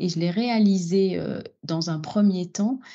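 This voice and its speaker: A woman with an Algerian accent speaks at a very slow pace, her fairly low voice dark and mellow with lively intonation. The background is quiet. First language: Algerian Arabic (speaking French). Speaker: opera singer. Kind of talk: interview conversation. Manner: hesitant, many fillers.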